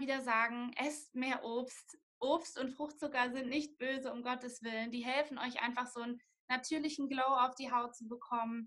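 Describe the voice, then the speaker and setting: A woman speaks at a moderate pace in a high, flat monotone. Her tone is bright and sharp. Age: 20s. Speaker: nutrition student and blogger. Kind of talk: interview.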